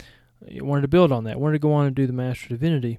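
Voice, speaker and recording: Speaking with a Southern US accent, a man has a fairly high voice and a dark, mellow tone. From Georgia, US South. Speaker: seminary podcast host and former missionary and college teacher. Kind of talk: podcast introduction, scripted-style monologue.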